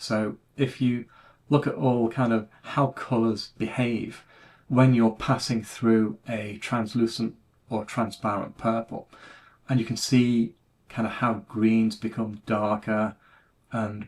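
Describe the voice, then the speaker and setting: In a very clean recording with a silent background, a man with a British accent speaks at a very slow pace, his medium pitch held in a monotone, flat intonation. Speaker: retro computing YouTuber. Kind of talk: casual monologue video.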